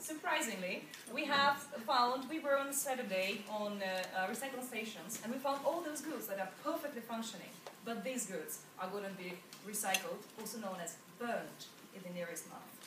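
With noticeable background noise present, a woman talks at a moderate speed. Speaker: presenter. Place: hall. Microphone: camera far.

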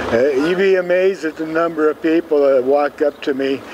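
Light background noise sits under a man talking at a fairly quick pace. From Seattle, Washington. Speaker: street newspaper vendor. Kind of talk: interview answer. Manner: casual, conversational. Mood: warm, a bit wistful. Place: street.

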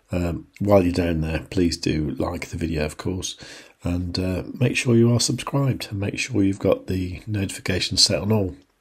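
In a raspy, put-on character voice, a man whispers at a moderate pace. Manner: whispering.

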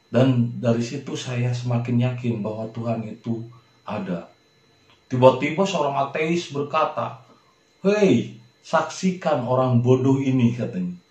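Fairly slow speech from a man, medium in pitch, amid audible room echo. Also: ordinary pitch variation. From Indonesia, Sukabumi, West Java. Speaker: religious video talk host. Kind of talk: religious monologue.

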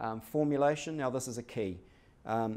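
This man talks at a fairly quick pace with a New Zealand accent, his tone dark and mellow and his intonation fairly even. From New Zealand, Hamilton. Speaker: company executive; presenter. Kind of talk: business presentation. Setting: stage with audience. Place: meeting room. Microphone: podium.

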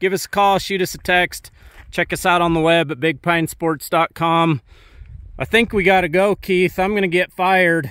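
A man's bright, sharp tone, dry with no echo, over a quiet background. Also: fairly even intonation, moderate pace. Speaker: dealership host filming. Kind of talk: casual vlog commentary. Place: open country. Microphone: phone near.

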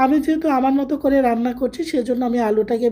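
High-pitched speech from a woman, varying in pitch in an ordinary way. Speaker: cooking video host. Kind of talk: cooking tutorial.

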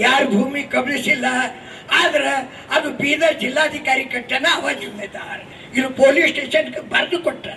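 With a North Karnataka accent, a man uses a raised, projected voice at an extremely high pitch. His intonation is fairly even, and background noise is noticeable. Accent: North Karnataka Kannada dialect. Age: 80s+. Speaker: newspaper publisher and speaker. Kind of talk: public speech.

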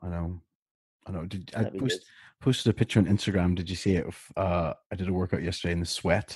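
A man with a British accent and a very deep, low, somewhat breathy voice speaks fairly quickly yet with long, frequent pauses and fairly even intonation, the sound dry and close with no echo over a quiet background. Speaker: podcast co-host.

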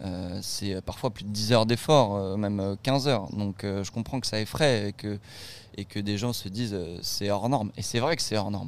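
A man with a plain, everyday voice and a fairly low pitch speaks at a moderate pace with ordinary pitch variation. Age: 20s. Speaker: student and documentary maker. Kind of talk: interview. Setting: on site at the race.

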